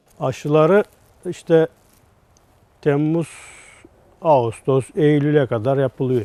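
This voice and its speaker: In a dry, close sound with no echo, a man with a fairly high pitch and a dark, mellow tone talks at a very slow pace with ordinary pitch variation and long, frequent pauses. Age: 40s. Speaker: flower grower. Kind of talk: casual interview. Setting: greenhouse on location.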